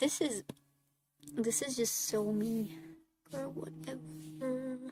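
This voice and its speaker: A woman speaks very slowly in a fairly high, somewhat breathy voice with a dark, mellow tone and very wide pitch swings. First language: Hungarian. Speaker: artist streamer. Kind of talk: casual chat. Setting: live stream. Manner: casual.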